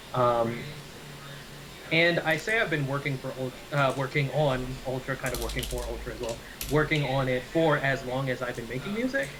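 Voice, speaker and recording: Through noticeable background noise, a man talks at a moderate pace with long, frequent pauses. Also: medium pitch for a man, ordinary pitch variation. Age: 20s. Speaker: rapper. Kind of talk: interview.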